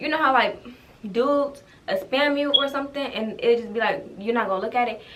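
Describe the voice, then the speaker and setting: At a very fast pace, a woman talks in a high pitch with ordinary pitch variation. Noticeable background noise and audible room echo fill the recording. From Ohio. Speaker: YouTuber. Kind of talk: storytime vlog.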